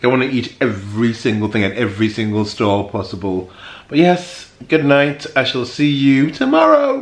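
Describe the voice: A man speaks at a moderate pace. His pitch swings widely. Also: medium pitch for a man.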